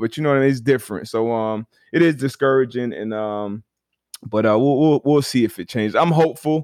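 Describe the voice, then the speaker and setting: Against a quiet background, a man in an ordinary speaking voice talks at a moderate pace and medium pitch with ordinary pitch variation, the sound dry and close with no echo. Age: 30s. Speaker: former football player, podcast host. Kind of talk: casual chat.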